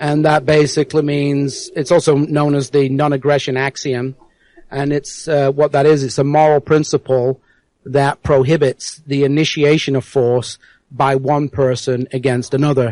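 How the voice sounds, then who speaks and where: A man's fairly high voice with an American accent, monotone and flat, in a dry, close sound with no echo. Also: moderate pace. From South Yorkshire, England (near Rotherham). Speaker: anarchist activist, guest. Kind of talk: radio interview.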